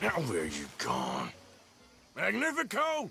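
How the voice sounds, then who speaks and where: A man puts on a raspy character voice. He delivers it at a fairly slow pace. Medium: video game. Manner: drawling.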